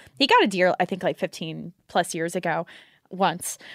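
The speaker has an American accent and talks at a fairly quick pace. The recording is very clean with a silent background and a dry, close sound with no echo. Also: woman. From Houston, Texas. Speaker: competitive shooter and gun shop worker. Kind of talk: casual chat.

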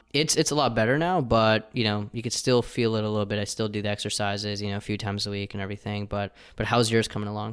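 With hardly any pauses, a man talks at a very fast pace and fairly even intonation on a very clean recording with a silent background. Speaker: podcast host. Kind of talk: interview conversation. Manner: smooth, good talker.

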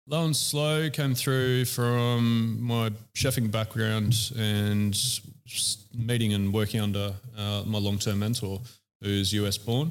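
Very slow speech in an Australian accent, very even in loudness, with fairly even intonation and audible room echo. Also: man, medium pitch for a man. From Australia, Central Coast NSW. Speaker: chef and barbecue shop owner. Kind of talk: casual interview. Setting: in a shop during opening weekend.

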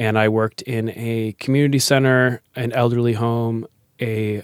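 With an American accent, a man speaks fairly slowly at a medium pitch in a monotone, flat intonation, the sound dry and close with no echo. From Massachusetts, Foxborough. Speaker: beatboxer and improv performer. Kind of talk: casual interview.

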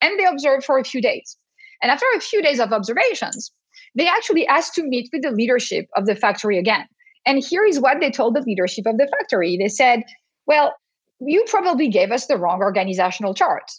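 A woman speaks very fast in a French accent. Her pitch is high and swings very widely. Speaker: professor. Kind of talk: casual chat.

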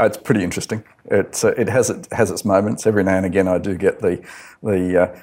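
With an Australian accent, a man talks very fast in a fairly low voice, his intonation fairly even. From Australia, Adelaide. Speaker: construction project manager. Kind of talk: casual interview. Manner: halting, many fillers.

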